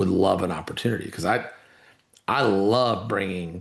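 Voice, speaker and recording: Speaking at a moderate pace, a man has an unremarkable speaking voice that sits fairly low in pitch. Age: 60s. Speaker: entrepreneur and investor. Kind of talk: casual chat.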